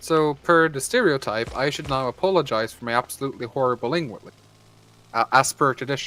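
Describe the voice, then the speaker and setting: Bright, sharp male voice, fairly high in pitch, at a fairly quick pace. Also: ordinary pitch variation. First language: Norwegian. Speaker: gaming streamer. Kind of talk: casual chat.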